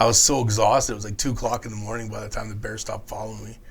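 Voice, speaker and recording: A man with a Canadian accent talks with vocal fry. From Prince George, British Columbia. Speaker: long-distance hiker. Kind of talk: podcast interview answer.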